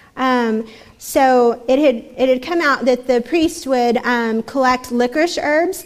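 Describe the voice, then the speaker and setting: Noticeable background noise surrounds a speaker with an American accent. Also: woman. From Texas. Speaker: church speaker. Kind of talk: talk at church gathering.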